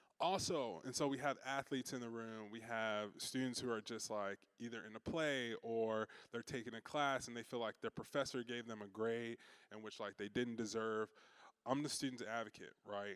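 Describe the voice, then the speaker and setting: In a very clean recording with a silent background and a dry, close sound with no echo, a man with a Chicago accent speaks at a medium pitch with fairly even intonation. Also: moderate pace. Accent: Chicago twang. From Chicago, US Midwest. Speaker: university student affairs staff. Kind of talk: orientation talk to parents. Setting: in-person session with audience. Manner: casual, conversational with frequent fillers.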